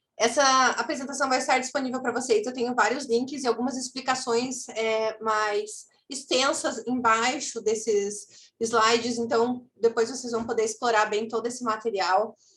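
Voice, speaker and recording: A woman's high voice at a moderate pace, with fairly even intonation. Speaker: social impact consultant. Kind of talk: webinar presentation.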